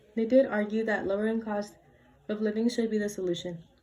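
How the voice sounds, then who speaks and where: A woman talks with a fairly high voice. Noticeable background noise is present. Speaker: student debater. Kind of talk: competitive debate speech.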